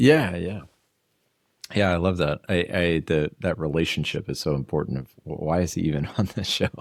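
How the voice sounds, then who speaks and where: With an American accent, a man speaks at a very deep, low pitch with vocal fry and ordinary pitch variation. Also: moderate pace. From United States. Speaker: podcast host. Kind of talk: interview.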